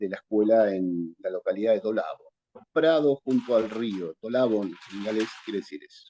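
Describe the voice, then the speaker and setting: A man with a Rioplatense accent speaks at a moderate pace in a fairly low, dark, mellow voice with ordinary pitch variation. The sound is dry and close with no echo. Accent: Argentine Spanish (rioplatense-type, voseo). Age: 60s. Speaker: vocational school teacher. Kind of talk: interview. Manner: hesitant, with many fillers.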